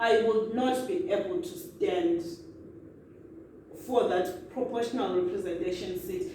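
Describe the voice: A woman with a dark, mellow tone speaks at a fairly low pitch and moderate pace, with fairly even intonation and audible room echo.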